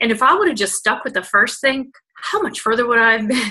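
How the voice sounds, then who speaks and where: Loud and animated, a woman speaks at a very fast pace in a high pitch, her tone bright and sharp and her intonation lively. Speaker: network marketing leader. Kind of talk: motivational talk.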